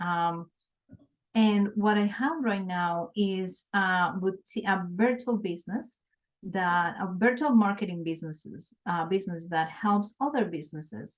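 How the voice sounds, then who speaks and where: Speaking in a Colombian accent, a woman keeps a fairly slow pace, a medium pitch and ordinary pitch variation. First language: Spanish. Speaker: small business owner, city manager. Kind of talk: interview.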